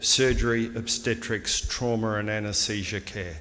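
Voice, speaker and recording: There is audible room echo as a man speaks with an Australian accent. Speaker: surgeon. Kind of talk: conference speech.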